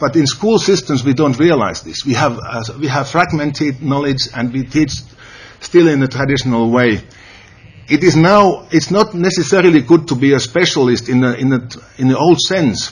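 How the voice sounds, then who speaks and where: Over noticeable background noise, a man with a Finnish accent talks at a moderate pace in a fairly high voice. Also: ordinary pitch variation. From Finland. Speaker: educator, conference panelist. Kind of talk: conference presentation. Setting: panel at a senate hall. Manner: halting.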